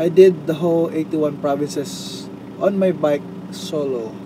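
Lively intonation marks a man's speech, dry with no echo, over noticeable background noise. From Philippines. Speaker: motorcycle traveler vlogger. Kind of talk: personal video diary. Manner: halting, with many fillers and repetitions. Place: car. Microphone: phone near.

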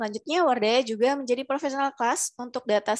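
A woman talks with normal rises and falls in pitch while the background stays quiet. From Indonesia. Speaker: webinar moderator. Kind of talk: formal announcement. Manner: formal. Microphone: headset.

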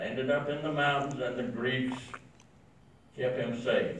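Audible room echo sits alongside light background noise in this recording. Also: man. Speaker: war veteran. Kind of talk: speech to an audience. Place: meeting room.

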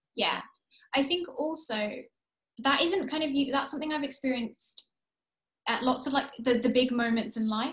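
A high-pitched woman's voice with long, frequent pauses, over a quiet background. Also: ordinary pitch variation, moderate pace. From England and Kuwait. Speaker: author. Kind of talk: author interview. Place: home room. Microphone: video call.

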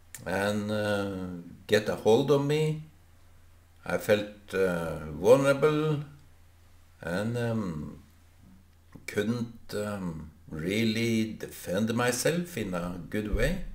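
A man speaks at a very slow pace with long, frequent pauses. His voice is fairly low, with lively intonation. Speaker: vlogger. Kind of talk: casual vlog chat. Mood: reflective, thoughtful. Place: home room. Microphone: webcam.

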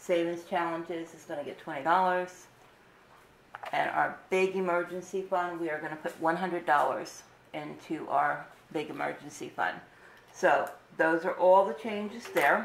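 The speech has fairly even intonation and long, frequent pauses. Audible room echo and light background noise come through. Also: woman, fairly low pitch for a woman. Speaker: budgeting vlogger. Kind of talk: casual tutorial narration.

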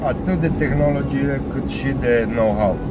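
The man's voice sounds dry with no echo, set against loud background noise. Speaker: vlogger driving. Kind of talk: casual vlog chat. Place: car. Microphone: phone near.

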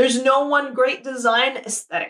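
A bright, sharp voice, raised and projected. It moves at a fairly slow pace over a quiet background. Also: woman. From Saudi Arabia. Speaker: product designer. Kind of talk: conference talk. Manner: loud; enthusiastic. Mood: friendly, smiling. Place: home room. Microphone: webcam.

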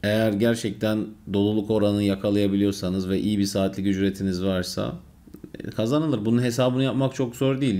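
A man's fairly low-pitched voice, dark and mellow in tone, with fairly even intonation at a moderate pace. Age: 20s. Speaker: software developer vlogger. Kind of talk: Q&A vlog. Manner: casual, conversational. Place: home room.

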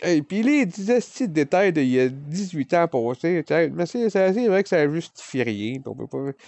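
Over a quiet background, a man with a Quebec accent speaks in a high pitch at a fairly slow pace, with very wide pitch swings. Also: dry sound with no echo. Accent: Québécois French. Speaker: vlogger. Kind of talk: personal confession. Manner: loud. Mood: emotional, reflective about the past. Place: home room. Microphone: phone near.

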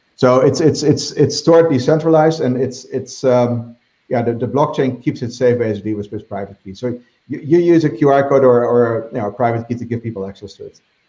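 Audible room echo surrounds a man with a dark, mellow tone. He moves at a fairly quick pace, with big swings in loudness. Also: ordinary pitch variation. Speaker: bitcoin investor; interview guest. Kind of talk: interview. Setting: video call. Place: home room. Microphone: video call.

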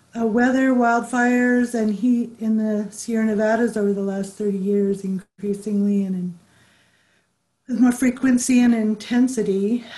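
A woman with an American accent speaks at a moderate pace in a flat monotone, her fairly high voice somewhat breathy with a dark, mellow tone. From California. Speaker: public health official; panelist. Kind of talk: panel discussion. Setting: video call. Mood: earnest, reflective. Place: home room. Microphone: video call.

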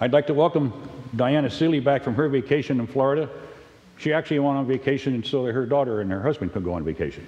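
Lively intonation runs through a man's very fast delivery. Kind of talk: church announcements. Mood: friendly, lightly humorous. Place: church. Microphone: camera far.

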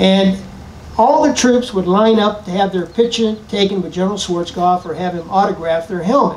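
The speaker has an American accent and ordinary pitch variation. The pace is moderate. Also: man, high pitch for a man. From western Pennsylvania. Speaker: retired army general, speaker. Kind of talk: speech to audience. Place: tent. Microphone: podium.

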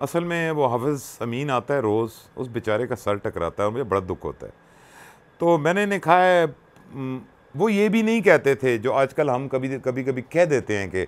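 A man's moderately paced speech with very wide pitch swings. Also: medium pitch for a man. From Pakistan, Punjab (Attock); Punjab, Pakistan. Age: 60s. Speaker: radio presenter and social worker; interview guest, radio presenter. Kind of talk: personal storytelling interview. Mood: warm, emotional, reflective. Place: home room. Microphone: lapel.

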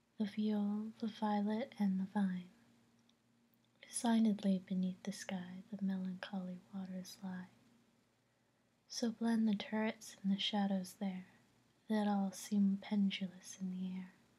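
Soft-spoken and somewhat breathy, a woman speaks in a dark, mellow tone with monotone, flat intonation and long, frequent pauses. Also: fairly slow pace. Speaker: vlogger. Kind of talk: poetry reading, casual vlog chat. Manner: soft, hushed reading voice. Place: home room. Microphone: webcam.

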